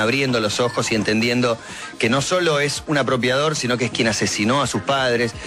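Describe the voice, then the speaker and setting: There is noticeable background noise as a man speaks in a medium pitch at a moderate pace. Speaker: TV or radio commentator. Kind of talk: TV news commentary.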